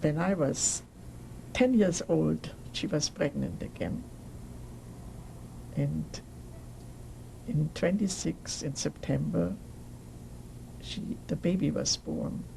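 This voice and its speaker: A woman with a German accent at a very slow pace, with long, frequent pauses. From Germany, Nuremberg. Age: 80s+. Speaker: Holocaust survivor. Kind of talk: oral history interview. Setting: recorded interview on camera.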